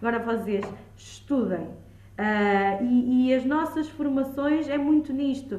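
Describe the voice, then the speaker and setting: The speech comes at a very slow pace with a dark, mellow tone and ordinary pitch variation, and audible room echo surrounds it. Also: woman, high pitch for a woman. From Lisbon, Portugal. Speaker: childminder and early childhood educator. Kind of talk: podcast interview.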